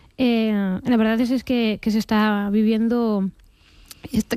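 A woman with a Galician accent talks at a fairly high pitch, with little pitch movement and a slightly mellow tone.

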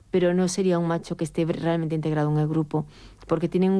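A woman's fairly low, dark, mellow voice at a fairly quick pace with little pitch movement

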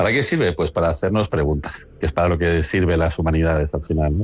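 A man's low voice at a fast pace.

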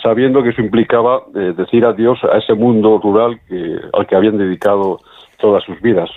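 Speaking at a fairly quick pace, a man keeps a fairly low pitch and fairly even intonation.

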